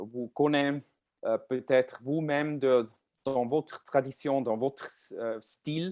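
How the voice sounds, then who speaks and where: A man with a non-native accent speaks at a very slow pace, his pitch fairly high with ordinary pitch variation. The recording is very clean with a silent background and a dry, close sound with no echo. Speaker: pianist and composer. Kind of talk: lecture. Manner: halting, many hesitations.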